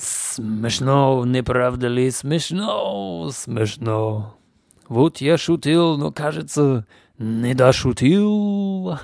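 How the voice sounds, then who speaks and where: A man's pitch rises and falls very widely as he talks at a very slow pace. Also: medium pitch for a man. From Canada. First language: English (speaking Russian). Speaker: podcast host. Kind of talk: casual monologue. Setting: home.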